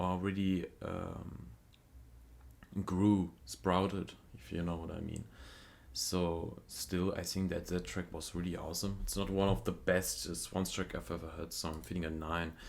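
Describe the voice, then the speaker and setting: Slowish and very deep, a man speaks with a non-native accent, his low pitch showing ordinary variation at a fairly slow pace. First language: not English. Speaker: music reaction youtuber. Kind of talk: casual review commentary. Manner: halting, many fillers.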